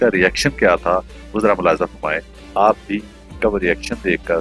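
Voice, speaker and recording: A man speaks with music in the background. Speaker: news anchor. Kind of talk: narration addressed to viewers.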